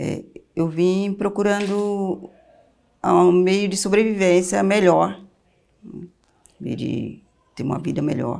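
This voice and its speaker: Her tone dark and mellow, a woman speaks at a very slow pace with ordinary pitch variation and long, frequent pauses. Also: medium pitch for a woman. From Vale do Jequitinhonha, Minas Gerais, Brazil. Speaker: social educator. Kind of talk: interview answer.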